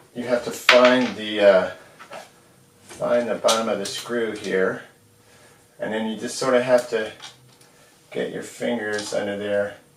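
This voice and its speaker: A man talks fairly slowly while noticeable background noise carries on behind him. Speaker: hobbyist amp repair video maker. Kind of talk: tutorial. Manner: casual, relaxed.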